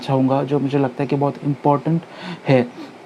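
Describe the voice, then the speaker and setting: Noticeable background noise runs under this recording. A man speaks at a fairly high pitch. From India, Mumbai. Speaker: news commentary YouTuber. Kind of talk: casual talk to camera. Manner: hesitant, many fillers.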